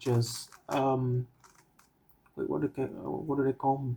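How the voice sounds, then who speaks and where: Very slow speech in a Vietnamese accent. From Vietnam, Ho Chi Minh City. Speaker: cubing vlogger. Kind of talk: casual monologue. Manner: halting, many fillers.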